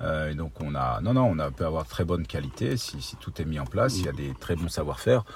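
With very wide pitch swings and a very deep, low pitch, a man talks at a fairly quick pace with hardly any pauses over noticeable background noise. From northeastern France, Ardennes. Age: 50s. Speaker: bike brand founder and engineer. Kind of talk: interview. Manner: halting, many repetitions.

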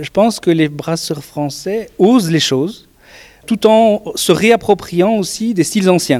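Speaking very slowly, a man uses a high voice. His intonation is lively. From Belgium. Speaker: beer competition organizer. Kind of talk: interview.

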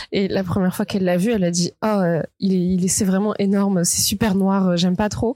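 A woman talks at a fairly quick pace in a dark, mellow tone with monotone, flat intonation. The recording is very clean, with a silent background. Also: medium pitch for a woman, very even loudness. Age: 20s. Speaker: podcast guest. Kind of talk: casual chat.

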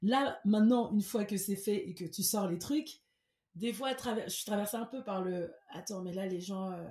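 This woman talks at a fairly slow pace with a medium pitch and ordinary pitch variation. Her tone is dark and mellow, and somewhat breathy. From Cameroon. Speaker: singer-songwriter. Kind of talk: interview.

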